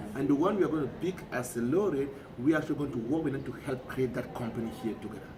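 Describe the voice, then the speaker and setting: A man at fairly high pitch and very fast pace, ordinary pitch variation, noticeable background noise and audible room echo. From Cameroon. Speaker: peace organization director. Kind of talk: interview. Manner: halting.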